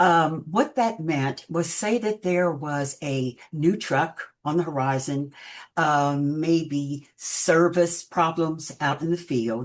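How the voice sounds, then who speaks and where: A woman with an American accent speaks at a very slow pace, her pitch very deep and low with ordinary variation. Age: 80s+. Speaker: retired process engineer and crafter. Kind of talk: interview. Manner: halting.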